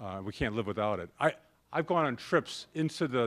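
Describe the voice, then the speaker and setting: With an American accent, a man speaks at a moderate pace, his intonation lively. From US Midwest. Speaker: corporate sustainability executive; speaker. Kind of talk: conference talk. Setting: stage with audience. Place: classroom. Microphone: podium.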